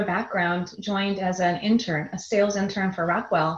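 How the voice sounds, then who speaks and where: A woman with an American accent, medium in pitch, somewhat breathy, at a fairly quick pace. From US Midwest, Chicago suburbs. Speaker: business executive. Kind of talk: interview conversation.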